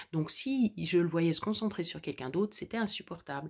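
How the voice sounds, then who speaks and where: A woman at a fairly low pitch with ordinary pitch variation, against a quiet background. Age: 40s. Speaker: vlogger. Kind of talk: personal vlog monologue. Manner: halting. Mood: warm, content, reflective. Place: home room. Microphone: phone near.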